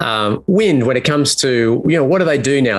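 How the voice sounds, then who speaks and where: A man with an Australian accent. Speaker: community host. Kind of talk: interview. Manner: halting.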